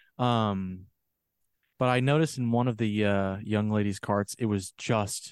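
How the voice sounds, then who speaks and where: In a very clean recording with a silent background and a dry, close sound with no echo, a man speaks in a normal speaking voice at a fairly low pitch with ordinary pitch variation. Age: 30s. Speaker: podcast co-host. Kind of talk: casual chat.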